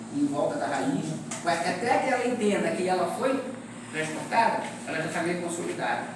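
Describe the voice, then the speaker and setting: A man speaks at a moderate pace in a high pitch with lively intonation. Audible room echo and noticeable background noise surround him. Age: 60s. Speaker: mangrove restoration worker giving a talk. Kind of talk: lecture with Q&A. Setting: field talk to graduate students. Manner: animated, with repetitions and hesitations.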